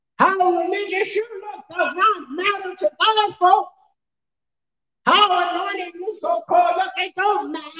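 Projecting a raised voice, a man speaks at an extremely high pitch with a bright, sharp tone. His pace is fairly slow. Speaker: pastor. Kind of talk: sermon. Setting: church. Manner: animated; emphatic, repetitive.

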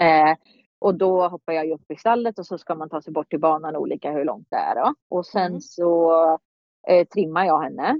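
A woman uses a normal speaking voice, pitched fairly low with ordinary pitch variation, at a moderate pace. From Sweden, Kumla near Örebro. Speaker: show jumping rider. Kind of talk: casual interview. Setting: remote call.

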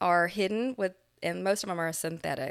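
In a very clean recording with a silent background, a woman with an American accent speaks in an ordinary speaking voice, her pitch fairly low and her intonation fairly even. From Florida. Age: 40s. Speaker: dental hygienist and cancer survivor. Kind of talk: interview testimony.

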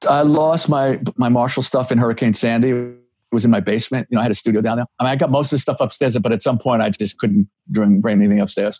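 A man speaks in a New York accent at a very fast pace. His pitch is medium, with ordinary pitch variation. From New York (Bronx). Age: 60s. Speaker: rock guitarist and recovery counselor. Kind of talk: casual interview chat.

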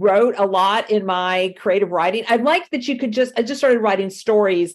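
A woman's lively intonation comes at a fairly quick pace. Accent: slight Southern US. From Miami, Florida. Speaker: yarn shop owner, former university lecturer. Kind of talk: interview.

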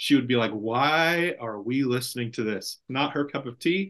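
A man speaks with an unremarkable speaking voice and ordinary pitch variation. The background is quiet. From California Central Valley. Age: 30s. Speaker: pastor. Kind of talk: casual chat.

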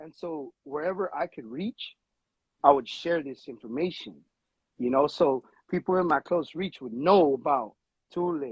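Speaking with an American accent, a man uses a fairly high pitch and lively intonation at a fairly slow pace. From Los Angeles. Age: 30s. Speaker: tattoo artist. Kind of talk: casual chat.

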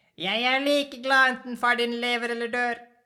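A man puts on a character voice at an extremely high pitch. His intonation stays flat and monotone. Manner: gruff, indifferent.

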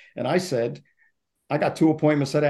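A man speaks in a New York accent with a dark, mellow tone. His pitch variation is ordinary. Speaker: author and sales consultant. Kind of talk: interview.

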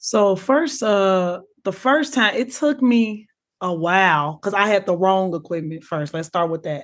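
With an American accent, a woman speaks at a fairly slow pace in a medium pitch and a plain, everyday voice. Her intonation is lively, and the background is quiet. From Chicago. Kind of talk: casual chat.

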